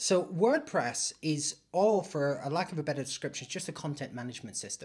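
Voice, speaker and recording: Lively intonation marks this man's voice. He speaks in a Northern Irish accent at a fairly high pitch. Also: fairly quick pace. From Northern Ireland. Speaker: IT hosting business owner. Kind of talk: casual interview chat.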